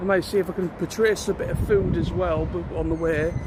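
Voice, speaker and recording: This man talks at a fairly quick pace. Noticeable background noise runs under his speech. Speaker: vlogger. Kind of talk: casual vlog. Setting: outdoors. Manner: loud.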